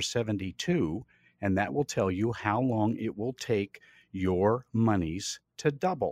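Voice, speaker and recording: A man's unremarkable speaking voice with lively intonation at a moderate pace, dry and close with no echo, in a very clean recording with a silent background. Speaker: retirement planner. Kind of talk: radio show advice. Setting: studio.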